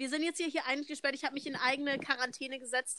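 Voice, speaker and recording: A woman's high-pitched, raised, projected voice with a bright, sharp tone. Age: young. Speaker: au pair, podcast co-host. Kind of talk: casual chat. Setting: video call, outdoors on terrace.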